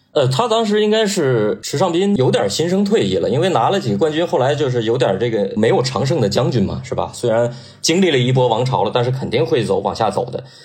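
Amid noticeable background noise and audible room echo, a man talks very fast at medium pitch with very wide pitch swings, very even loudness, and hardly any pauses. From Northeast China. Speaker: sports journalist. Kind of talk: casual chat.

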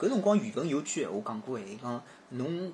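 A man talks at a fairly quick pace and sounds somewhat breathy. His pitch swings very widely. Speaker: podcast guest. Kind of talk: casual chat.

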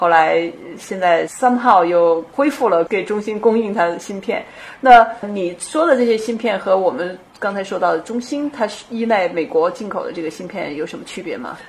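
Over noticeable background noise, a woman with a medium pitch speaks at a moderate pace, with lively intonation and big swings in loudness. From China. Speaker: podcast host. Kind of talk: scripted narration; interview. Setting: startup incubator in Shanghai.

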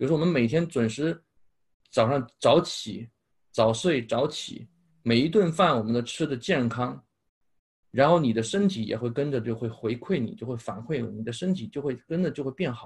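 A man speaks at medium pitch and a moderate pace, somewhat breathy, with lively intonation. The recording is very clean, with a silent background. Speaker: speech-language therapist and English pronunciation coach. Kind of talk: casual interview chat.

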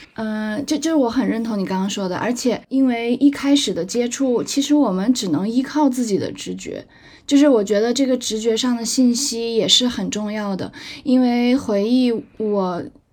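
On a very clean recording, the background is silent. A plain, everyday voice keeps a moderate pace, its pitch varying in an ordinary way. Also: woman, fairly high pitch for a woman. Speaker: legal professional living abroad. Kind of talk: casual chat.

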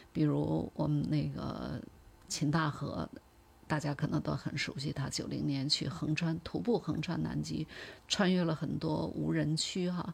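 A woman's fairly slow speech comes through a very clean recording against a silent background. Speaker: polar expedition travel manager and former research scientist. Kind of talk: interview.

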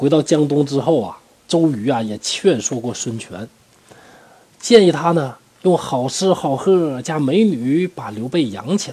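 A man with a fairly high pitch talks at a fairly slow pace in an ordinary speaking voice, his intonation lively and his loudness swinging widely. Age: middle-aged. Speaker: history storyteller podcaster. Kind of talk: storytelling narration. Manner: casual, many filler particles.

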